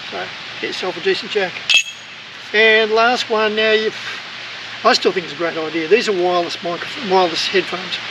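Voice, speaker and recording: The speech moves at a fairly quick pace with long, frequent pauses, over noticeable background noise. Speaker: travel vlogger. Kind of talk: casual tutorial. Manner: hesitant, many fillers; loud.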